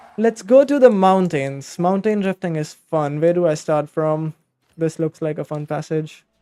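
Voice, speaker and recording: A man with a high pitch talks at a moderate pace with ordinary pitch variation. Music plays in the background, and the sound is dry and close with no echo. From India. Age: young. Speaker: gaming streamer. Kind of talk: live game stream chat. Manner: casual, halting.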